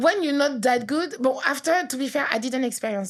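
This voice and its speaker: A woman with a French accent talks at a moderate pace. Her tone is animated and her intonation lively. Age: 30s. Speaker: author. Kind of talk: casual chat.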